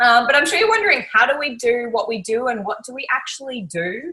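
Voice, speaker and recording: The speaker, with an Australian accent, talks at a fairly quick pace with lively intonation. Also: woman. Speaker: network marketing team leader. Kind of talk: event presentation. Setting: live online event.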